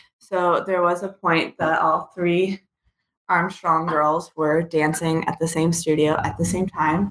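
At a fairly slow pace, a woman talks in a monotone with flat intonation. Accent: American. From Kansas, small town. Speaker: dance student. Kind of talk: casual interview.

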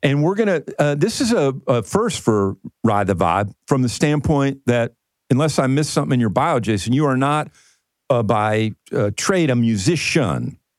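A man's medium-pitched voice at a fairly slow pace, with lively intonation and very even loudness. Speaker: radio show host.

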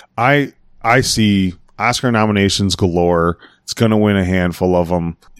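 In a very clean recording with a silent background, a man with a fairly low pitch and a normal speaking voice talks at a moderate pace with ordinary pitch variation. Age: 40s. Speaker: podcast co-host. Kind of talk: casual chat.

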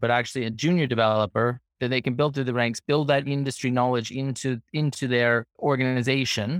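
Recorded with a dry, close sound and no echo, a man has an unremarkable speaking voice at a medium pitch with fairly even intonation. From Toronto, Canada. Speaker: company co-founder. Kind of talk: casual interview.

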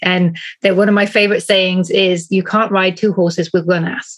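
A woman talks at a moderate speed, with a medium pitch and fairly even intonation. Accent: British. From UK. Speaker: business coach. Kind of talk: interview. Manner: calm.

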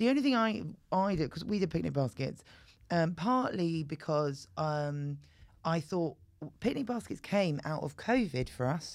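A woman speaks with a fairly low pitch and very wide pitch swings. The recording is very clean, with a silent background. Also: moderate pace. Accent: British. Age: 40s. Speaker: comedian. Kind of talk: casual chat.

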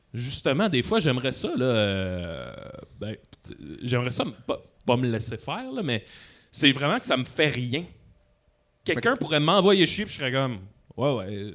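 The speaker talks at a fairly slow pace with long, frequent pauses, in a Quebec accent. The pitch swings very widely. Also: man, medium pitch for a man. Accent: Québécois French. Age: 30s. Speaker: comedian. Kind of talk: live podcast interview. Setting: stage with audience.

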